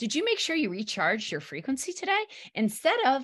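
A woman speaks with very wide pitch swings and vocal fry. The background is quiet. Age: 40s. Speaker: wellness podcast host. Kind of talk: casual interview. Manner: animated.

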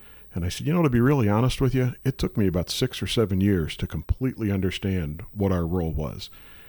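Speaking very fast with lively intonation, a man with a Midwestern American accent and a fairly low voice comes across in a dry, close sound with no echo. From St. Louis, Missouri. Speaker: emergency management director. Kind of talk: radio interview. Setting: studio. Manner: calm.

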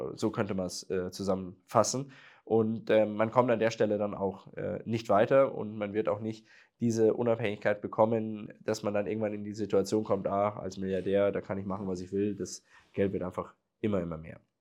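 With monotone, flat intonation and a fairly low pitch, a man speaks at a moderate pace against a quiet background. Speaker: entrepreneur and podcast host. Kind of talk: solo podcast monologue.

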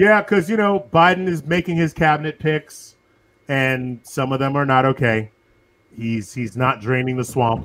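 A man with an American accent speaks in a normal speaking voice, fairly high in pitch, with lively intonation at a moderate pace. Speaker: podcast host. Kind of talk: casual chat.

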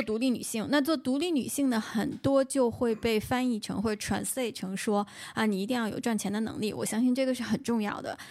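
The pitch moves with ordinary variation. It is a plain, everyday voice. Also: woman. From Beijing. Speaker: podcast host. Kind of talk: casual chat. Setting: remote call.

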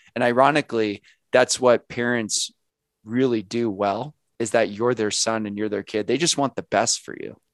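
With a quiet background and a dry, close sound with no echo, a man talks at a moderate pace and medium pitch in an unremarkable speaking voice with ordinary pitch variation. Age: 30s. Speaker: author. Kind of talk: interview.

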